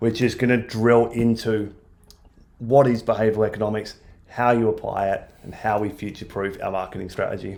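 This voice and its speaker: The speaker is a man with a medium pitch. He keeps a moderate pace and a monotone, flat intonation. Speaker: marketing agency presenter. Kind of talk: webinar presentation. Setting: online webinar.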